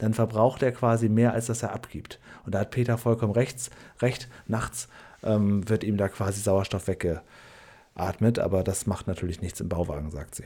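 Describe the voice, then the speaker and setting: With a normal speaking voice, a man talks at a moderate pace in a fairly low pitch with ordinary pitch variation. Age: 40s. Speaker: podcast co-host. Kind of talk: casual chat.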